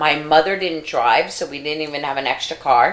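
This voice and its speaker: With an American accent, a woman speaks at a very deep, low pitch and ordinary pitch variation. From New York. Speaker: podcast co-host. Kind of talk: casual chat.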